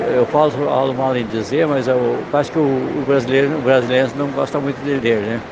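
A man speaks over noticeable background noise. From southern Brazil, Rio Grande do Sul. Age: 80s+. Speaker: writer, retired lawyer. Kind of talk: interview at book fair. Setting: book fair stand.

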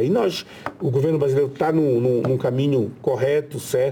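A man talks at a medium pitch. Noticeable background noise runs behind him. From Brazil, Pará (riverside area near Belém). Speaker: senator. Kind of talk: interview.

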